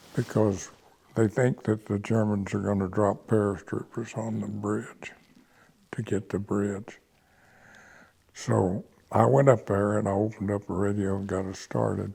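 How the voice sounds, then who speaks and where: With an American accent, a man speaks in a dark, mellow, fairly low voice, leaving long, frequent pauses. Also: fairly even intonation, moderate pace. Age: 80s+. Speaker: WWII veteran. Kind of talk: interview answer.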